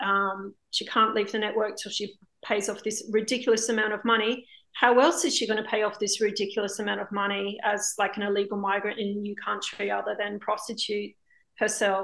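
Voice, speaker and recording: A woman with an Australian accent talks at a fairly quick pace in a monotone, flat delivery. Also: medium pitch for a woman. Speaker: documentary filmmaker. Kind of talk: interview.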